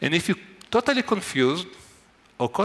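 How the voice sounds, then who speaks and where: A man's voice carries vocal fry and very wide pitch swings as he talks at a fairly quick pace. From Israel. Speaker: neuroscientist. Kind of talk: lecture.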